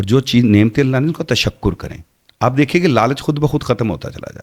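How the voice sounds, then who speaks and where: There is vocal fry in this man's medium-pitched voice. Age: 50s. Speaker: Islamic speaker and podcast guest. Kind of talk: podcast interview.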